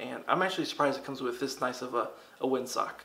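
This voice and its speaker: A man is talking. His pace is fairly quick. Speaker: product reviewer. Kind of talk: product review talk to camera.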